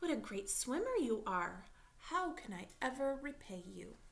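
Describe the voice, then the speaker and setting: A put-on character voice delivers the lines at a moderate pace. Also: woman, high pitch for a woman. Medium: read story.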